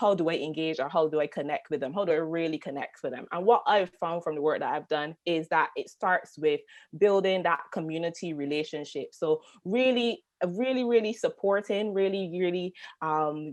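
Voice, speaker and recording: Someone with a Barbadian accent talks at a moderate pace with ordinary pitch variation against a quiet background. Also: woman, fairly low pitch for a woman. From Barbados. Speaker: tourism marketing consultant. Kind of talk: panel discussion.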